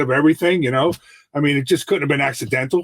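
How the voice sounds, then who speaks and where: Heard in a dry, close sound with no echo, the speaker uses fairly even intonation and an American accent. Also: man. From New York City. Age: 60s. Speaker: mindset coach. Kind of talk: podcast interview.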